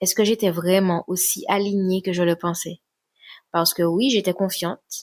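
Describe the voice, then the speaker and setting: Soft-spoken and fairly low in pitch, a woman comes across in a dry, close sound with no echo. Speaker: relationship coach and sophrologist. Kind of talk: introspective podcast talk. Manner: soft, low voice.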